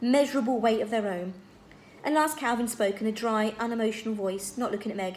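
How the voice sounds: The natural reading voice moves through ordinary pitch variation.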